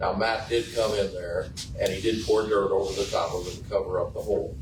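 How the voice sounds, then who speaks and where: A man talking at a fairly quick pace amid noticeable background noise and audible room echo. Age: 70s. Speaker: resident speaking at public meeting. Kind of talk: public comment at city meeting.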